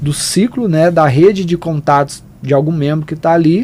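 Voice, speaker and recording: Here a man speaks with a Goiás accent at a moderate pace. His pitch is fairly high and his tone dark and mellow. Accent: Goiás accent, mistaken for Minas Gerais. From Goiás, Brazil. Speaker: wealth leverage and consortium specialist. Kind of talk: podcast interview.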